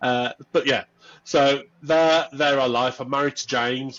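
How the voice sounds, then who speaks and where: A man with a Birmingham accent speaks with fairly even intonation. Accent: Birmingham (Brummie). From Birmingham, England. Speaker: workplace culture and diversity lead. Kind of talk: podcast interview. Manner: casual, many fillers.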